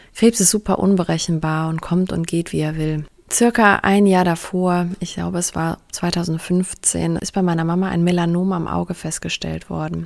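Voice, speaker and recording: A woman talks at a moderate pace with hardly any pauses, in an ordinary speaking voice. Her pitch is fairly low and her intonation fairly even. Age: 30s. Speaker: podcast host, bereaved daughter. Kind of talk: personal monologue, testimony.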